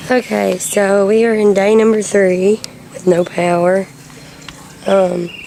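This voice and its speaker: Over noticeable background noise, a woman with a Southern US accent talks at a very slow pace and medium pitch, in a monotone, flat intonation broken by long, frequent pauses. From Alabama. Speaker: video blogger. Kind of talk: casual video diary. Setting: at home during power outage. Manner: hesitant, many ums.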